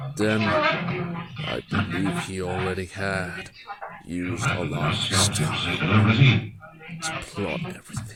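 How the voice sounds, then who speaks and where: A man's cartoonish character voice at a very slow pace. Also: fairly low pitch for a man. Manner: explanatory, measured.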